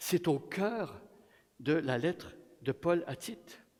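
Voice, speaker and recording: A man talks with lively intonation. His voice is high-pitched. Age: 60s. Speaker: guest preacher. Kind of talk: sermon. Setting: church.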